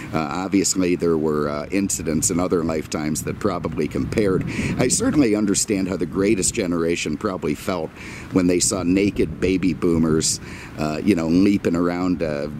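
At a fairly quick pace, a man with a very deep, low voice speaks with fairly even intonation, the sound dry with no echo and noticeable background noise behind it. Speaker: car dealer reviewer. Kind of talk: casual vlog chat. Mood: wry, exasperated rant. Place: street. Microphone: phone near.

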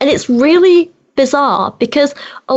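Over noticeable background noise, a woman talks in a British accent. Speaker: YouTuber and activist. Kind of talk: casual interview chat.

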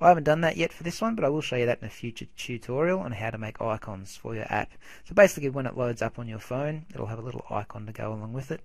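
A man with an Australian accent talks at a very fast pace in a medium-pitched voice, with hardly any pauses. His intonation is lively and his loudness swings widely. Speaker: software tutorial maker. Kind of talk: tutorial. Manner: casual.

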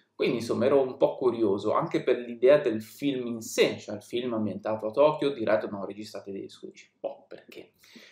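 A man speaks at a fairly quick pace with hardly any pauses and big swings in loudness. The background is quiet, but room echo is audible. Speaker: film reviewer on a video channel. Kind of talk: casual monologue film review. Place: home room.

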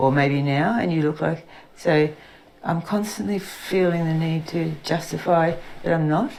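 Noticeable background noise sits behind a woman with an Australian accent. She speaks at a fairly slow pace in a fairly low pitch with ordinary pitch variation. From Queensland, Australia. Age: 60s. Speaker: witness with Parkinson's disease. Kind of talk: testimony. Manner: halting.

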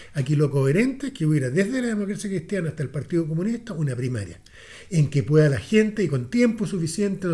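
With a Chilean accent, a man talks very fast in a high, dark, mellow voice, his pitch swinging very widely. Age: 60s. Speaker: political commentator. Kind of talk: casual chat. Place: studio. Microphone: studio mic.

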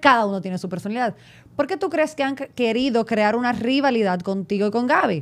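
A woman speaks in an animated tone with lively intonation. The recording is very clean, with a silent background. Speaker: TV interviewer. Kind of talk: casual interview chat.

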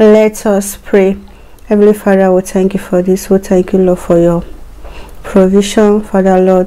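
A woman's medium-pitched voice moves along at a moderate pace. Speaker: mukbang video creator. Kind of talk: fervent prayer before eating, a mealtime blessing. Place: home room.

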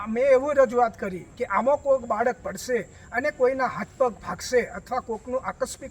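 There is noticeable background noise. A man speaks at an extremely high pitch. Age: 60s. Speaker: village resident. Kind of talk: news interview complaint. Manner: formal.

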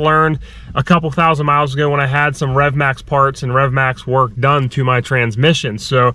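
A man talks at a fairly quick pace with hardly any pauses and ordinary pitch variation. The sound is dry, with no echo. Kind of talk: casual vlog chat. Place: car. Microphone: phone near.

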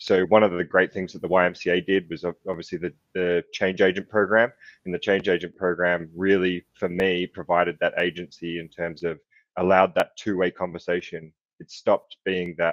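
Against a quiet background, a man with an Australian accent speaks at a moderate pace in a very deep, low voice. His delivery is a flat monotone, though his loudness swings widely. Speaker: youth mental health program founder, panelist. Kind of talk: informal, conversational. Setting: online summit panel.

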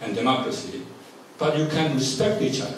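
A man's voice rings with strong room echo, and light background noise runs underneath. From South Korea. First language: Korean. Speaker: professor; forum lecturer. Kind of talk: lecture. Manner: halting. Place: meeting room.

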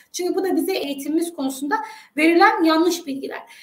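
An extremely high-pitched woman's voice with ordinary pitch variation and audible room echo. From Turkey. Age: 30s. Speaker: education consultant; guest. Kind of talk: interview. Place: home room. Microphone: webcam.

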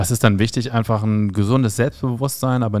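A man speaks in an animated tone at a moderate pace against a quiet background. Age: 40s. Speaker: podcast host and stand-up comedian; podcast host, stand-up comedian. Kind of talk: casual interview; interview question, conversational. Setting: studio with camera. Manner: joking, animated. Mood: relaxed, light humour. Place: home room. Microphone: studio mic.

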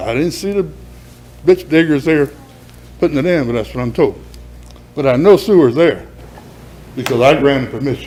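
With a Southern US accent, a man talks at a fairly high pitch and a moderate pace with ordinary pitch variation. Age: 70s. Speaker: resident speaking at public hearing. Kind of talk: public comment at council meeting. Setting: city council chamber.

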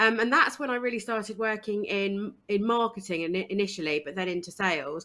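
In a southern English accent, a woman speaks fairly quickly with hardly any pauses, in a bright, sharp, energetic tone. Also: medium pitch for a woman, ordinary pitch variation. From eastern England. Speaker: diversity and inclusion consultant. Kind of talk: interview.

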